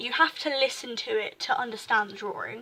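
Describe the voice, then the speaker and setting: A woman talks at a moderate pace. Her voice is raised and projected. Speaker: amateur artist vlogger. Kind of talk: casual sketchbook walkthrough. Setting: home desk recording. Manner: halting, stuttering.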